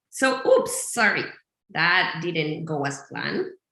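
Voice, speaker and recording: Someone talks at a very slow pace with a strong Colombian accent. Audible room echo surrounds the voice. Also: woman. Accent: thick Colombian Spanish. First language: Spanish. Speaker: visual notes teacher, business founder. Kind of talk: webinar tutorial. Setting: video call webinar with screen sharing. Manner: animated, many fillers.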